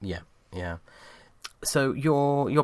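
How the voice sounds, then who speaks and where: A very clean recording with a silent background, a man speaking at a fairly slow pace. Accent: British. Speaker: podcast host. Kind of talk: interview.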